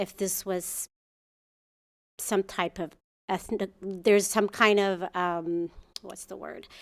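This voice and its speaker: Very slowly and in a monotone, flat way, a woman with an Ethiopian accent speaks at medium pitch in a very clean recording with a silent background. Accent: Ethiopian accent, noticeable. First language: Amharic. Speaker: muralist artist. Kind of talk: public comment at city commission meeting. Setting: council chamber. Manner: halting, with fillers and restarts.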